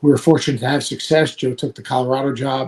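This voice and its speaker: With monotone, flat intonation and a somewhat breathy quality, a man talks at a fairly quick pace. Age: 60s. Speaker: college basketball analyst and former coach. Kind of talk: podcast interview.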